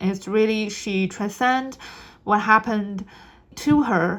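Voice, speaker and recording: A woman with a non-native accent, medium pitch and ordinary pitch variation. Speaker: tarot reader. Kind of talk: spiritual reading monologue. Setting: on camera. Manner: halting.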